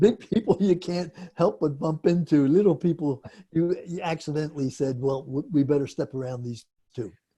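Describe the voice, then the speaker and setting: With an American accent, a man speaks in a dark, mellow tone. His pitch is fairly high and his pace moderate. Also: ordinary pitch variation. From Philadelphia, Pennsylvania. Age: 80s+. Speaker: inventor, interview guest. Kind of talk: interview.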